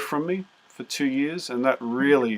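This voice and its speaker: A man speaks with an Australian accent. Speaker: music teacher. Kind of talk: interview. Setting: video call.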